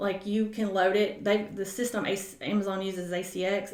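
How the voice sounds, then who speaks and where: There is noticeable background noise and audible room echo. Through it, a woman speaks at medium pitch with a Southern US accent. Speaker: author and book-publishing coach. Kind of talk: casual interview chat.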